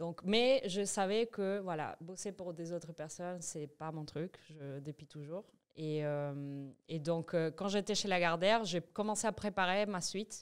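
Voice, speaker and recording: A woman speaks in a Spanish accent at a fairly low pitch. Her pace is fairly slow and her pitch varies in an ordinary way. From Venezuela (Caracas). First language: Spanish (speaking French). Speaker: entrepreneur, massage business founder. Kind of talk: podcast interview. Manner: hesitant, many fillers and restarts.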